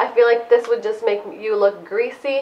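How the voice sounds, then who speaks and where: There is noticeable background noise. Over it, a woman speaks at a high pitch. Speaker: beauty vlogger. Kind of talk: product review vlog. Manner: casual, chatty.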